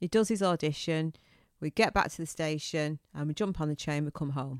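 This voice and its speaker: The recording is very clean, with a silent background and a dry, close sound with no echo. A woman with a fairly low pitch speaks at a moderate pace with ordinary pitch variation. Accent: northern English. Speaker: podcast co-host. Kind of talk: casual chat, podcast between spouses. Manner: feisty, teasing.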